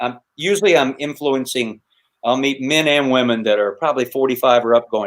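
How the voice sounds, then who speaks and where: At a fairly quick pace, a man with an American accent talks in a normal speaking voice at medium pitch with ordinary pitch variation. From US South, North Carolina. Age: 60s. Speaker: hammock camping YouTuber and busker entertainer. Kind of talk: casual interview chat. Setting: live stream.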